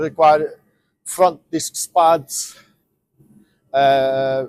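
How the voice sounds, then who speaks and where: A man talks very slowly with a non-native accent. His intonation stays fairly even. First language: not English. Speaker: van dealer and mechanic. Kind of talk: tutorial. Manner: halting.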